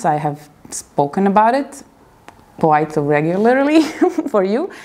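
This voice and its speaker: A woman speaks in an Eastern European accent. Noticeable background noise runs behind her. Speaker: video blogger. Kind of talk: video interview. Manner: halting.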